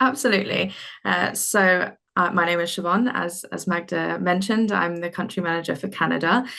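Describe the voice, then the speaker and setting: A woman speaks at a fairly low pitch with a bright, sharp tone and vocal fry. Her pace is fairly quick, with ordinary pitch variation. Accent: British. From UK. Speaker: healthcare recruiter. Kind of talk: webinar presentation. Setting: online webinar.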